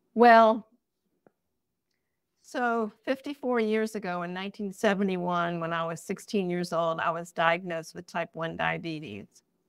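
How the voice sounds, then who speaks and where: In a very clean recording with a silent background, a woman with an unremarkable speaking voice talks at a moderate pace, fairly low in pitch with ordinary pitch variation. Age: 60s. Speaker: artist. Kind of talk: interview.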